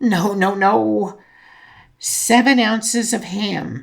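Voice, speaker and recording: At a fairly high pitch, a female-sounding voice performs a put-on character voice. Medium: read story. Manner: prim and fussy.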